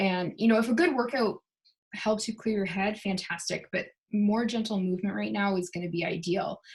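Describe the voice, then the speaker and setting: At a fairly quick pace, a woman speaks in a somewhat breathy voice at a medium pitch, with ordinary pitch variation. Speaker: essential oils seller and wellness vlogger. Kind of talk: casual product chat to camera. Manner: animated.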